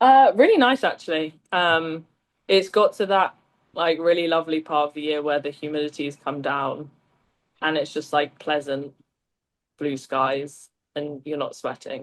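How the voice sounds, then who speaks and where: Using a very deep, low pitch, a woman speaks at a moderate pace with ordinary pitch variation and long, frequent pauses. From southern England, small town near London. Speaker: recruitment agency lead. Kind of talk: casual interview chat.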